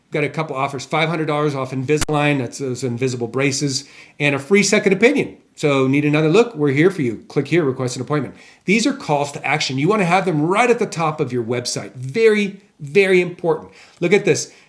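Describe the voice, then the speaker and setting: Lively intonation runs through speech at a very fast pace. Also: man, fairly high pitch for a man. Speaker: marketing consultant. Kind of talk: tutorial.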